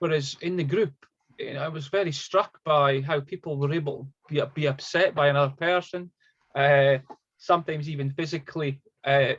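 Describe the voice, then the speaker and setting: The speaker has a Scottish accent and a somewhat breathy voice. The pace is fairly quick, with fairly even intonation. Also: man, fairly high pitch for a man. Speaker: psychotherapist. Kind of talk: interview via interpreter. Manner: halting, many repetitions.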